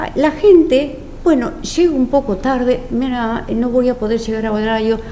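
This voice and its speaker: Her intonation lively, a woman speaks at a fairly slow pace amid audible room echo and noticeable background noise. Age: 60s. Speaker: former religious-order domestic worker. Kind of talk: testimony. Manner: halting.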